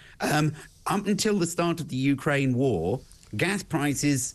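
A man's voice with vocal fry and very wide pitch swings. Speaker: remote guest. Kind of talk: interview answer. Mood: critical, argumentative. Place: home room. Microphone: video call.

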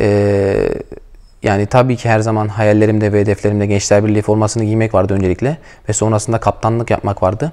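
In a quiet background, a man talks at a fairly quick pace with fairly even intonation, a fairly low pitch and a dark, mellow tone. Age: 20s. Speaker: professional footballer, team captain. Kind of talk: interview. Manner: hesitant, many filler sounds. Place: hall. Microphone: lapel.

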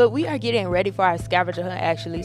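A woman's very fast speech, dry with no echo, over clear background music. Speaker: college student vlogger. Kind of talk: casual vlog chat. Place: street. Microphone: phone near.

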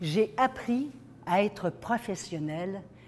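A woman with lively intonation at a very slow pace. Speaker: keynote speaker. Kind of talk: motivational talk. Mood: earnest, personal storytelling.

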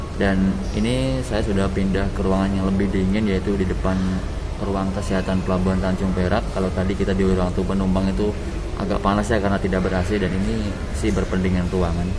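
A man at a very fast pace, very deep and low in pitch, with ordinary pitch variation and noticeable background noise. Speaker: travel vlogger. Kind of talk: casual vlog chat. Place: station. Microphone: phone near.

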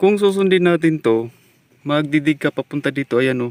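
This is a man speaking. He has an unremarkable speaking voice. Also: dry, close sound with no echo. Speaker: treasure hunting vlogger. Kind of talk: casual on-site vlog narration.

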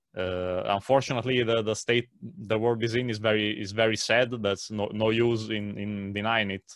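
A man with an Italian accent speaks at a fairly low pitch and moderate pace in monotone, flat intonation, with a dry sound with no echo and a quiet background. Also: hardly any pauses. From Italy. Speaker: translator of natural law material; interview guest. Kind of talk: interview conversation. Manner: halting with many fillers. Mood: serious, critical. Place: home room. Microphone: video call.

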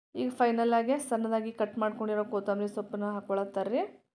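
A woman is speaking. Her pitch is fairly high. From North Karnataka. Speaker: cooking channel host. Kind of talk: cooking tutorial narration. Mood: warm, homely. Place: kitchen.

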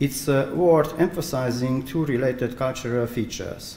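Over light background noise and audible room echo, a man with a dark, mellow tone speaks at a moderate pace with ordinary pitch variation. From Transylvania, Romania. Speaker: architect and researcher. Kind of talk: conference presentation. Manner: halting, hesitant with fillers. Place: hall. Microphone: podium.

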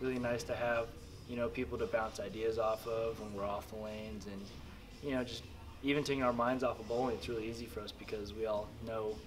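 A man at a very fast pace, with fairly even intonation over light background noise. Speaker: interviewee. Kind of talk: interview answer. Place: meeting room.

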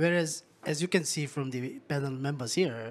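A man's pitch varies in an ordinary way while he keeps a moderate pace. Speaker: UN secretariat official; panelist. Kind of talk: panel discussion. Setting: stage with audience. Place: stage. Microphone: handheld.

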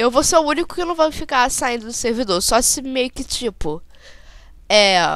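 Her pitch high, a woman speaks at a moderate pace with very wide pitch swings. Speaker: gaming YouTuber. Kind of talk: gameplay commentary. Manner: animated.

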